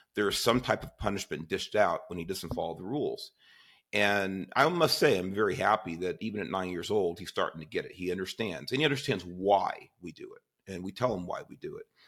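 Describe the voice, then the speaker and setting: A man with a plain, everyday voice talks at a fairly quick pace on a very clean recording with a silent background. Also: fairly low pitch for a man, ordinary pitch variation. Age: 50s. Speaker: podcast host. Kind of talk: casual interview chat.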